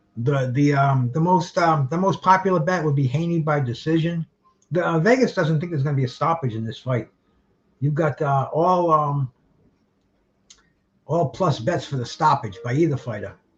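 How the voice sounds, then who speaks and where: In a Rhode Island accent, a man speaks at a moderate pace with long, frequent pauses. His voice is fairly high and somewhat breathy, with ordinary pitch variation. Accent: New England, Rhode Island. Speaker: boxing livestream host. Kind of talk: casual live fight commentary. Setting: livestream. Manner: halting. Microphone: too far from the camera.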